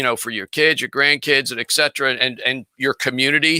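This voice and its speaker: Recorded very cleanly against a silent background, a man speaks in a bright, sharp tone with a fairly high pitch and fairly even intonation, the sound dry and close with no echo. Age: 60s. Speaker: business coach and guest. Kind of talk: casual interview chat.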